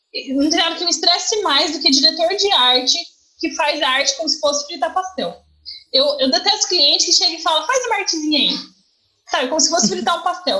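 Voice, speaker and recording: A woman speaks in a raised, projected voice at an extremely high pitch. Her intonation is lively and her pace fairly quick. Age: 30s. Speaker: journalist. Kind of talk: casual chat. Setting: video call.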